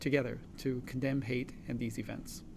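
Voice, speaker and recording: A man's medium-pitched voice, moderate in pace, with fairly even intonation. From Los Angeles area, California (immigrated from China at 6). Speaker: physician, co-host. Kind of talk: town hall panel moderation.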